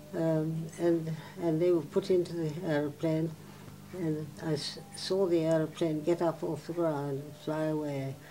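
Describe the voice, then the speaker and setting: A woman's very deep, low voice in a flat monotone. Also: fairly slow pace. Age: 80s+. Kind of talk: oral history interview answer.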